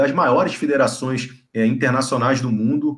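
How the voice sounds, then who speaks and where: Somewhat breathy delivery at a moderate pace, with ordinary pitch variation. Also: man. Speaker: live show host. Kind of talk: interview wrap-up.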